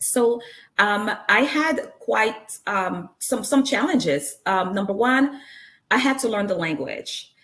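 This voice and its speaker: In a Congolese accent, a woman speaks at a very slow pace with vocal fry. Her pitch is fairly high, and her intonation is lively. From Congo (Zaire), Central Africa. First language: Lingala. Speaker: nurse and author, speaker. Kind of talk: motivational talk. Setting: stage with live stream audience.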